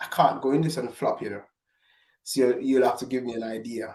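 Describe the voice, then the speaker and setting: A man is speaking. He has a strong Jamaican accent. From Jamaica, Falmouth. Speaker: gospel recording artist. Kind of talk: interview. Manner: halting.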